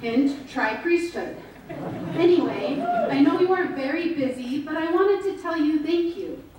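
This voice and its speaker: A woman with an American accent talks at a fairly slow pace in an extremely high pitch with ordinary pitch variation. Audible room echo and noticeable background noise fill the recording. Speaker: speaker and writer on leaving Mormonism. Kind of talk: speech to an audience; reading aloud a letter. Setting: stage with audience at a dinner.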